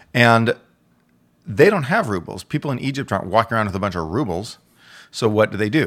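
On a very clean recording with a silent background, a man with an American accent uses an unremarkable speaking voice, fairly low in pitch with ordinary pitch variation. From Texas. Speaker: economist and columnist. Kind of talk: casual interview.

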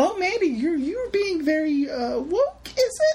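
A female-sounding put-on character voice sits at an extremely high pitch and makes very wide pitch swings. It moves at a very slow pace.

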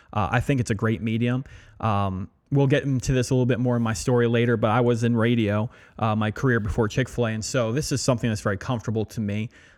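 On a very clean recording with a silent background, a man with an American accent talks at a very fast pace, with medium pitch and fairly even intonation. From Pennsylvania, Allentown. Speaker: restaurant owner and podcast host. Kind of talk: casual chat.

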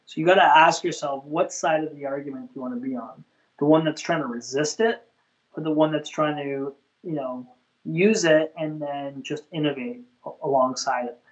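A plain, everyday voice at a moderate pace, with ordinary pitch variation and big swings in loudness. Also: man, fairly high pitch for a man. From Canada. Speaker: chef and food truck owner. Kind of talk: casual chat.

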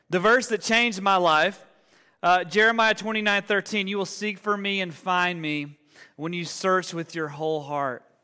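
A man with an Alabama accent projects a raised voice at a high pitch and moderate pace, his tone bright and sharp on a very clean recording with a silent background. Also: ordinary pitch variation. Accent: Southern US (Alabama). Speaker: pastor. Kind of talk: sermon. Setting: church. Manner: animated.

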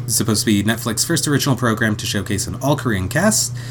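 A man speaks at a medium pitch. Noticeable background noise runs under the recording. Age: 30s. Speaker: podcast co-host. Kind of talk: casual chat; summarizing plots. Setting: home recording with partner.

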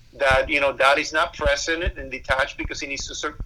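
This man has a Spanish accent. He keeps a moderate pace. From Cuba. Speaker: pastor. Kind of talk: interview.

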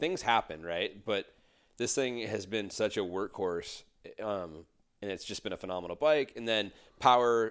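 Fairly low-pitched male speech in a normal speaking voice, with ordinary pitch variation and a moderate pace, on a very clean recording with a silent background. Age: 30s. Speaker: dirt bike racer. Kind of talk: casual chat. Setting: at the host's place.

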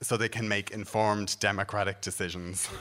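A man with a Dublin accent, fairly low-pitched, with a bright, sharp tone and a moderate pace. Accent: Dublin Irish. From Ireland, Dublin. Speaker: comedian. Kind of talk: stand-up.

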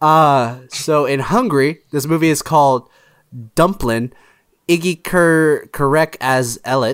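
On a very clean recording with a silent background, a man with a plain, everyday voice speaks at a fairly high pitch and a fairly slow pace. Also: ordinary pitch variation. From Texas. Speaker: friend of the podcast, former guest. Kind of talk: casual chat.

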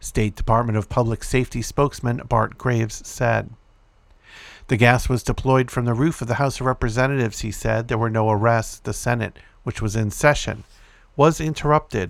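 An ordinary speaking voice keeps fairly even intonation at a moderate pace on a very clean recording with a silent background. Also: man. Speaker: podcast host reading news. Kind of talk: news reading of a published article, scripted read-aloud report. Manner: steady, formal, even newscaster delivery.

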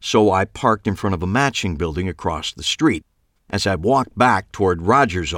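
The intonation is lively in this natural reading voice. All around it is quiet.

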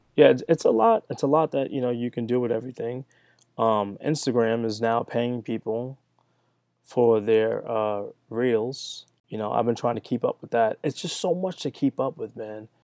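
An unremarkable speaking voice from a man, medium in pitch with ordinary pitch variation and a moderate pace, dry and close with no echo on a very clean recording with a silent background. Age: 30s. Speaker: sneaker content creator. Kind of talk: casual chat.

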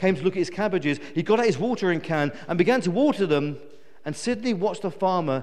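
The lively intonation rides on a natural reading voice.

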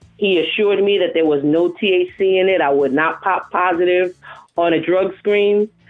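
An ordinary speaking voice, a woman with an American accent, medium pitch, fairly even intonation and a moderate pace. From South Bronx, New York City. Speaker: nurse practitioner and CBD representative. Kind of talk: casual radio interview. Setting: phone call. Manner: candid, informal, jokes.

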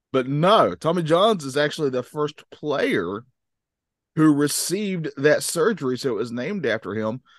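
In an unremarkable speaking voice, a man with a fairly high pitch talks at a moderate pace with lively intonation, in a dry, close sound with no echo over a quiet background. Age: 40s. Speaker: sports podcast co-host. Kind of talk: casual chat.

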